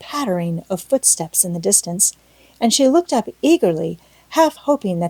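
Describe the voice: Someone reads aloud plainly. Their intonation has a lively rise and fall.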